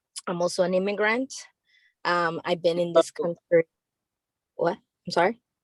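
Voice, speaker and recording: A woman speaks with a fairly low pitch and fairly even intonation. She leaves long, frequent pauses. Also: moderate pace, dry, close sound with no echo. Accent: Spanish. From Nicaragua. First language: Spanish. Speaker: dancer and teaching artist. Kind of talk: self-introduction in group session.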